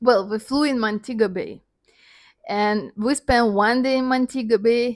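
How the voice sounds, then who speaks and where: In a very clean recording with a silent background, a woman speaks very slowly in a fairly high voice with ordinary pitch variation. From Russia. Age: 30s. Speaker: dancer and vlogger. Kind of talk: personal storytelling monologue. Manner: halting, non-native phrasing.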